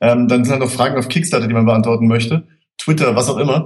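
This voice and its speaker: A man with an ordinary speaking voice, at a fairly quick pace with ordinary pitch variation. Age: 20s. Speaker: screenwriter. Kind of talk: casual chat.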